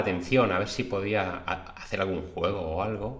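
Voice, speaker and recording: A man talks fairly slowly, with audible room echo and noticeable background noise in the recording. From Spain, Madrid. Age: 40s. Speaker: podcast host, aspiring webmaster. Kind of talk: casual personal monologue.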